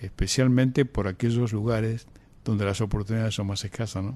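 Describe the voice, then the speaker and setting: A man talks at a fairly quick pace with a dark, mellow tone. His pitch is medium and his intonation fairly even. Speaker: radio host. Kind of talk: radio interview.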